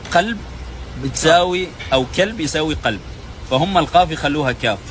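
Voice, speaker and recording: Over noticeable background noise, a man speaks at a fairly slow pace with a fairly high pitch. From Oman. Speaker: Omani man explaining Basra dialect. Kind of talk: casual explanation to camera.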